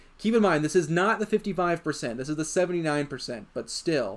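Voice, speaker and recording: An animated tone at a fairly quick pace, on a very clean recording with a silent background. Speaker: gaming YouTuber. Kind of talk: gameplay commentary.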